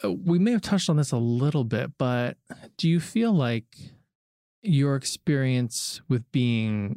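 A man's unremarkable speaking voice at a fairly slow pace, with ordinary pitch variation and a dry, close sound with no echo. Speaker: podcast host. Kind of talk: casual chat. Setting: video call. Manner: laughs often.

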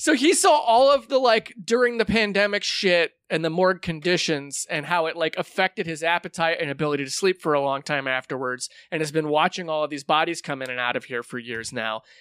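A man with a plain, everyday voice and a fairly high pitch talks at a fairly quick pace with lively intonation and hardly any pauses, the sound dry and close with no echo. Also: very clean recording, silent background. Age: 40s. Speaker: podcast host and comedian. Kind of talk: casual chat.

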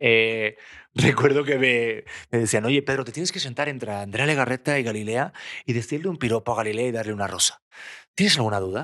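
A man's bright, sharp voice at medium pitch, with ordinary pitch variation, on a very clean recording with a silent background. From Spain. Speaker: TV presenter and actor. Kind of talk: casual chat. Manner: fast.

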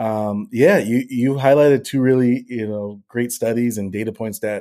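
A plain, everyday voice: a man of medium pitch with an American accent, at a moderate pace, with fairly even intonation. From Boston, Massachusetts. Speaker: influencer marketing director. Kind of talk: interview.

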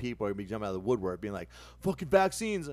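A man speaks in a medium pitch. His pitch swings very widely. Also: very clean recording, silent background. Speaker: podcast co-host. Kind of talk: casual chat.

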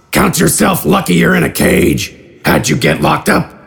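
A man uses a put-on character voice at a moderate pace. The voice is raspy. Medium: audio drama. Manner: gruff, blunt.

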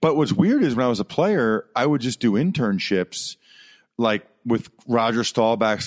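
A man with an ordinary speaking voice and medium pitch talks at a moderate pace. The sound is dry and close with no echo, over a quiet background. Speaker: former football player and sports broadcaster. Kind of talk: casual interview.

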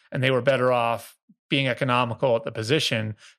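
An American-accented man talks at a very fast pace, his medium-pitched voice keeping fairly even intonation. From US Northeast, Boston area. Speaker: NFL reporter. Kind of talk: casual chat.

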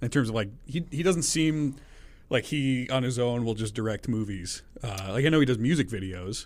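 A man uses a plain, everyday voice, medium in pitch with lively intonation, on a very clean recording with a silent background. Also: moderate pace. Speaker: radio podcast host. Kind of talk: casual interview chat.

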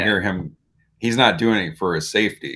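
With an American accent, a man talks at a fairly quick pace in a fairly low voice with a bright, sharp tone, recorded very cleanly against a silent background. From Illinois. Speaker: film podcast co-host. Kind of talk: casual chat.

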